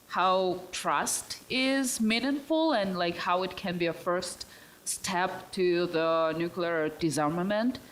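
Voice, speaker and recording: A woman with a Russian accent at a medium pitch and a very slow pace, with ordinary pitch variation, very even loudness and noticeable background noise. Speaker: student, audience questioner. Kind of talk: audience question at panel. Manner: hesitant, many fillers.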